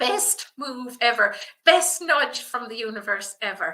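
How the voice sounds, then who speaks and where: A woman speaks with lively intonation in a bright, sharp, enthusiastic tone. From rural south of Ireland. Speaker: business coach for personal stylists. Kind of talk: live webinar presentation. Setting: livestream.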